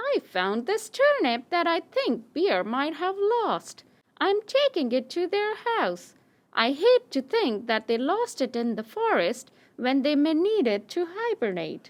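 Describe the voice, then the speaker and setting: A cartoonish character voice, female-sounding, at an extremely high pitch with very wide pitch swings and a fairly slow pace. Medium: puppet.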